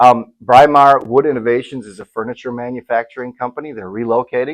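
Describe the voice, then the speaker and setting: Using an ordinary speaking voice, a man with an American accent talks at a fairly quick pace and medium pitch, with fairly even intonation and big swings in loudness. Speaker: auctioneer / asset management representative. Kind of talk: promotional announcement for an equipment auction, talking to camera.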